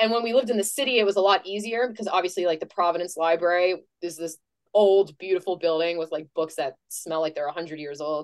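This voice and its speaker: A woman with an American accent speaks fairly quickly at a medium pitch, with ordinary pitch variation. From northern New Hampshire, US. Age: young. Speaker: STEM content creator. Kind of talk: interview. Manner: casual, conversational.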